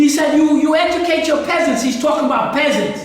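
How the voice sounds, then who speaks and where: Someone talks at a fairly quick pace with an American accent over noticeable background noise. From New York City. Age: 80s+. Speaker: history lecturer. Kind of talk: lecture. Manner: halting.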